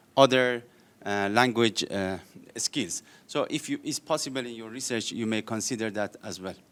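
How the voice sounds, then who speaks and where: The pace is moderate. It is a very clean recording with a silent background. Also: man. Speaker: academic researcher. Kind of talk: audience comment at academic conference. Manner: loud; halting.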